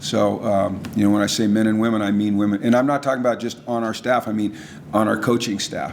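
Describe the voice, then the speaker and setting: Fairly low-pitched man's voice, fairly quick with fairly even intonation, amid noticeable background noise. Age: 60s. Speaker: football coach. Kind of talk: Q&A after keynote speech.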